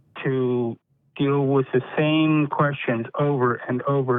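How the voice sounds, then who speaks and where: A man speaks at medium pitch in a plain, everyday voice. His intonation stays fairly even. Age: 50s. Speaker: caller. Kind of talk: casual chat.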